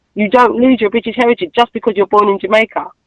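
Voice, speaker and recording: A woman's fairly high voice with a strong Cockney accent, ordinary pitch variation, and a dry, close sound free of echo. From East London, England. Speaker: expat interviewee. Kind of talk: interview.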